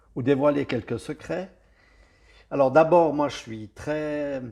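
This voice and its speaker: Here a man with a Swiss accent speaks at a very slow pace. His voice is fairly high in pitch with a dark, mellow tone. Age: 60s. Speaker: security expert. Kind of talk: interview.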